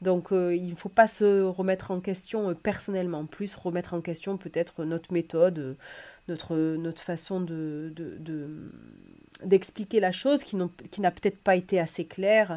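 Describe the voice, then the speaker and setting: Fairly low, dark, mellow tones from a woman at a fairly slow pace, with fairly even intonation, big swings in loudness, and a very clean recording with a silent background. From Bordeaux, southwest France. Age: 30s. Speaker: wedding officiant and trainer. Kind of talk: podcast interview. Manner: halting, many fillers.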